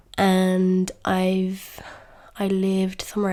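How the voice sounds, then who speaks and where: A woman speaks in a southern English accent at a medium pitch. Her tone is dark and mellow. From England, near London. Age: 20s. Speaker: podcast host. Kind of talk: casual chat.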